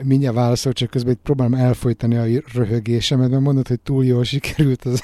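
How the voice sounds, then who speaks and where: At a very fast pace, a man with a medium pitch talks in a dark, mellow tone. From Hungary. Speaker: podcast host. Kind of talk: interview; scripted narration.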